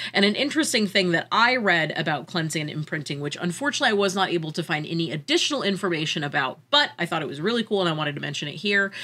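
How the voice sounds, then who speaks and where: Very wide pitch swings run through very fast speech with hardly any pauses, over noticeable background noise. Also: woman, fairly low pitch for a woman. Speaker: podcast host.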